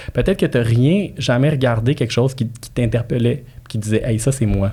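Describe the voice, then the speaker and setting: A man with a non-native accent talks at a moderate pace and medium pitch, somewhat breathy, with a dark, mellow tone and ordinary pitch variation. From immigrant to Quebec. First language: not French (speaking French). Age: 30s. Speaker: real estate broker and marketing specialist. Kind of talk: podcast interview, casual chat. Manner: animated, repetitive fillers.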